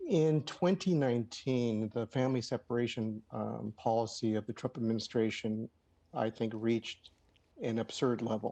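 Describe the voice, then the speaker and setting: A man with an American accent, dark and mellow in tone, at a moderate pace. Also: medium pitch for a man, ordinary pitch variation. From Los Angeles, California. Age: 60s. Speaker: playwright and lawyer. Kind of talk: TV news interview. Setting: video call. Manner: hesitant, many fillers.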